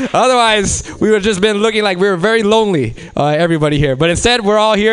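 Speaking at a very fast pace with an American accent, a man has a high pitch and ordinary pitch variation. There is noticeable background noise. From Los Angeles. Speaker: comedy show host. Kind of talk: stand-up emcee. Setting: stage with audience.

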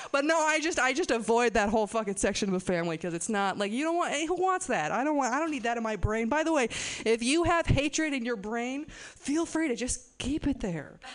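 Hardly pausing, a woman talks at a fairly quick pace and high pitch with very wide pitch swings over noticeable background noise. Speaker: stand-up comedian. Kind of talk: stand-up. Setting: stage with audience.

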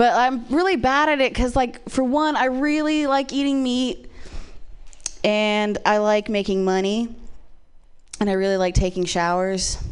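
A high-pitched woman with an American accent, at a moderate pace with lively intonation, long and frequent pauses, and very even loudness. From Ohio, small town. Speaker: comedian. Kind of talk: stand-up.

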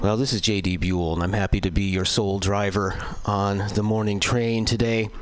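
A man talks at a fairly low pitch and a moderate pace with fairly even intonation. Noticeable background noise runs behind him. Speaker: radio DJ. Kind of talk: radio music announcing.

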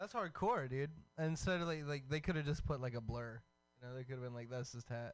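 Here is a man with an American accent at medium pitch. He speaks at a very fast pace with ordinary pitch variation. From Texas. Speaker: radio host. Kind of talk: casual chat. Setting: studio. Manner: animated.

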